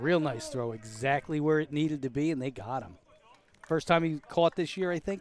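A man in a normal speaking voice with an American accent, a fairly high pitch, ordinary pitch variation and a moderate pace. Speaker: broadcast producer and color commentator. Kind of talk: scripted broadcast intro and sponsor reads. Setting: press booth at outdoor ballfield. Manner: joking, wry.

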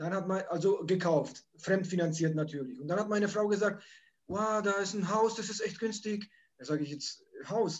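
With a Polish accent, a man speaks at a moderate pace in a high pitch with ordinary pitch variation. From Poland, moved to Germany at age nine. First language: Polish (speaking German). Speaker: holiday rental landlord and YouTuber. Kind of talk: interview.

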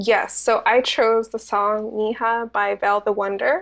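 Here is a woman with a plain, everyday voice at a fairly high pitch. She speaks at a fairly slow pace against a quiet background. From Santa Ana, California (Mexican immigrant parents). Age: 20s. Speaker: community bookstore and arts organizer. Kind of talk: interview.

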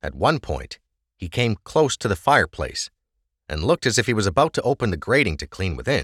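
The speaker does plain reading aloud. Nothing much sounds behind the voice, as the background is quiet.

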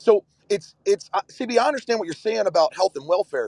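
Recorded dry and close with no echo, a man speaks at a very fast pace with lively intonation. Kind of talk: live audio room discussion. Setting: in a car.

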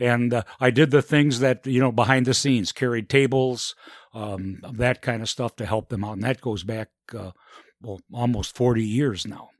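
An unremarkable speaking voice from a man with an American accent, fairly even intonation, big swings in loudness, dry, close sound with no echo, very clean recording with a silent background. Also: medium pitch for a man, moderate pace. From Elgin, Illinois, US Midwest. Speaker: mayor. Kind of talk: interview.

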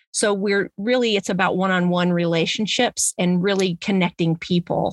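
The recording of a woman's voice is very clean, with a silent background and a dry, close sound with no echo. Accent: Ozarks. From US Midwest, Springfield, Missouri (Ozarks). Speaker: community garden founder. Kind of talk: interview. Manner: halting, many fillers.

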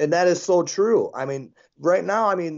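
With a Midwestern American accent, a man speaks at a fairly high pitch with ordinary pitch variation. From western Michigan. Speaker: open-carry militia activist. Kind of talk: interview.

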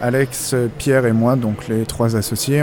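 Music plays in the background as a man speaks. His pace is moderate and his pitch is medium. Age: 30s. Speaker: video game shop manager. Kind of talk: interview. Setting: in a shop. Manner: hesitant, many fillers.

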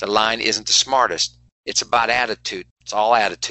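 With an American accent, a man speaks at a medium pitch and a moderate pace. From West Virginia. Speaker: performance coach. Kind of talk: interview. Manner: animated.

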